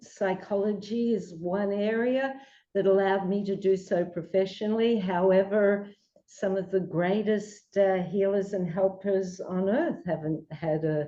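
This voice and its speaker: A woman with an Australian accent at a medium pitch and fairly slow pace, with a dark, mellow tone and fairly even intonation. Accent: Australian, lasting. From Australia, Melbourne. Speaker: psychologist. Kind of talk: interview.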